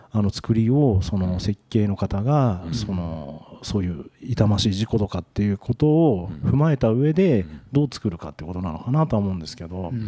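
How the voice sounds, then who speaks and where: With a dark, mellow tone and fairly low pitch, a man speaks at a moderate pace with lively intonation and hardly any pauses. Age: 50s. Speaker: toilet industry company expert. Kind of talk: casual discussion. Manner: hesitant, many fillers.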